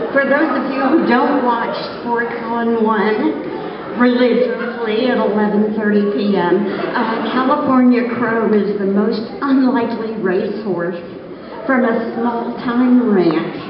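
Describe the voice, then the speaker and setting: With audible room echo and noticeable background noise, the speech moves at a very slow pace with ordinary pitch variation. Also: woman. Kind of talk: acceptance speech. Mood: thrilled, humorous, grateful. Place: stage. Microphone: podium.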